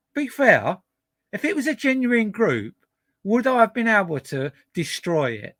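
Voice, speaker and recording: A man talks in an extremely high pitch with a bright, sharp tone, lively intonation and an animated delivery. The sound is dry and close with no echo, and the recording is very clean over a silent background. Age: 50s. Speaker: YouTube live streamer. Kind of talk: casual live-stream chat. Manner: halting, repeats words; animated, defensive.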